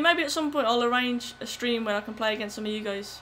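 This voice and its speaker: With ordinary pitch variation, a woman with a high pitch speaks at a fairly quick pace. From West Midlands, Wolverhampton. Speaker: gaming streamer. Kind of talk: live gameplay commentary and chat. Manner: animated.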